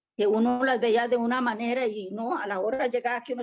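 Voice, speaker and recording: Her voice is high-pitched, and the woman talks at a moderate pace with ordinary pitch variation. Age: 60s. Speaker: church member, student. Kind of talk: class participation comment.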